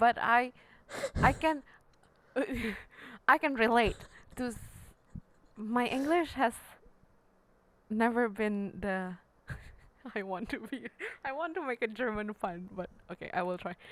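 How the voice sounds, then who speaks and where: Long, frequent pauses mark a woman's fairly slow speech, delivered at a fairly high pitch with lively intonation. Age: young. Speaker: podcast co-host and piano teacher. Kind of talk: casual chat.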